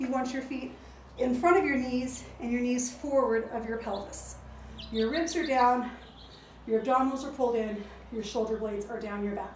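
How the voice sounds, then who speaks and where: A woman with a high pitch and ordinary pitch variation at a moderate pace, with audible room echo and light background noise. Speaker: fitness instructor. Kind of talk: exercise class instruction. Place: garden. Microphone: camera far.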